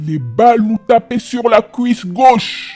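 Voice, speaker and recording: A put-on character voice at a fairly high pitch comes through at a fairly slow pace. Faint music plays in the background. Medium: audio drama. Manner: boastful, mocking.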